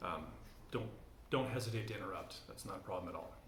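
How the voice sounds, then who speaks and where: Noticeable background noise and audible room echo accompany this man as he talks. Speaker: church teacher. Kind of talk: lecture. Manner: fast; hesitant, many fillers.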